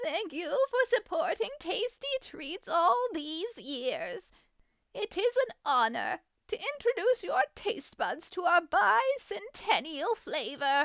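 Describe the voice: A woman puts on a character voice at an extremely high pitch. She moves at a fairly slow pace with very wide pitch swings.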